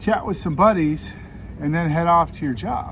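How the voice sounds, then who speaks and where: A man with an American accent talks at a fairly quick pace. Room echo can be heard. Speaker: cycling vlogger. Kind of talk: casual vlog monologue. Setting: outdoors. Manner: loud.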